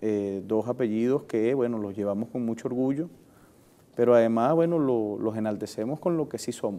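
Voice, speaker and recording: At a moderate pace, a man with a medium-pitched, dark, mellow voice shows ordinary pitch variation. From Venezuela, Puerto Cabello (Carabobo coast). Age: 30s. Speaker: politician. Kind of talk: interview. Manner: hesitant, with frequent fillers and repetitions.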